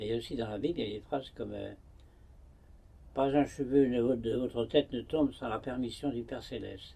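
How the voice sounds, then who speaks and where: Moderately paced and fairly even in intonation, this man's voice has a dark, mellow tone. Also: medium pitch for a man. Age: 90s. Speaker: hermit monk. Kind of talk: interview. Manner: halting.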